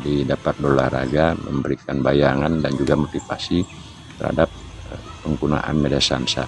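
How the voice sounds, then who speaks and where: A man's very deep, low voice at a moderate pace in a flat monotone, with music in the background. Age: 60s. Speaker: martial arts trainer. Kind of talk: tutorial. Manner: hesitant, with filler sounds.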